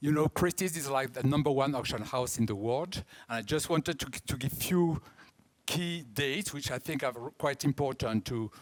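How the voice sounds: A man speaks with a strong French accent at a medium pitch. His pace is moderate and his pitch varies in an ordinary way.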